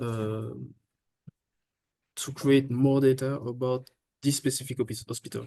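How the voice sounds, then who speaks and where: A man's dark, mellow voice moves at a moderate pace and medium pitch in a flat monotone, broken by long, frequent pauses. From France. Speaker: intern presenter. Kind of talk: Q&A discussion. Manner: halting.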